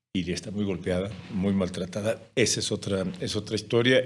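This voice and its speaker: A man with a Mexican accent, fairly low in pitch, at a moderate pace with ordinary pitch variation. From Mexico. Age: 60s. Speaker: journalist and speaker. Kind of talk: podcast interview.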